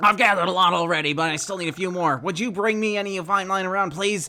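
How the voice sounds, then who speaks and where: Using a put-on character voice, a man talks very fast in a high pitch, with ordinary pitch variation. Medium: game stream.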